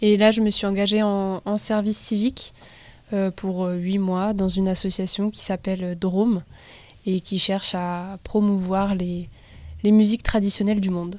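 Medium-pitched woman's voice with a dark, mellow tone, fairly slow pace and monotone, flat intonation. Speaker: recent graduate in civic service, raid team member. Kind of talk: radio interview.

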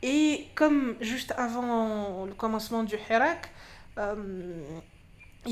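The speaker is a woman. She talks in a fairly high voice. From Algeria, Constantine (east). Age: 30s. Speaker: feminist activist. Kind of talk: interview. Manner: halting, many fillers.

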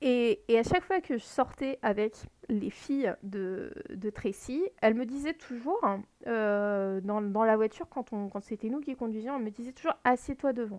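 With lively intonation, a woman speaks at a fairly slow pace and a fairly high pitch, the sound dry and close with no echo. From France, Lorraine. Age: 30s. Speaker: podcast host. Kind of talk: personal storytelling monologue. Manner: halting, many fillers.

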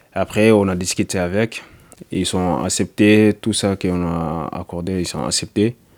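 Very deep and low, a man's voice moves at a fairly slow pace with ordinary pitch variation. The recording is dry and close, without echo. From Mali. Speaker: construction painter and striking undocumented worker. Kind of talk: interview testimony. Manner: halting.

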